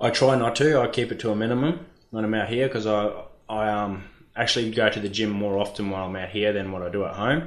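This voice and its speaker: In an Australian accent, a man with a fairly low voice talks very fast with ordinary pitch variation and audible room echo. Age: 20s. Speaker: mine dozer operator. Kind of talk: casual chat.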